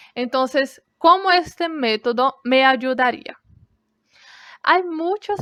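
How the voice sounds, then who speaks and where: A woman's very slow, high-pitched voice with a Brazilian accent, ordinary pitch variation, and a dry, close sound with no echo. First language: Brazilian Portuguese (speaking Spanish). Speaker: language student. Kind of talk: class presentation.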